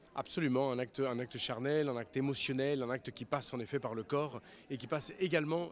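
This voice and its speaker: Talking at a fairly quick pace, a man keeps a medium pitch and fairly even intonation. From grew up abroad in many countries, French schools. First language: Spanish (speaking French). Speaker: writer. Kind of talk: interview.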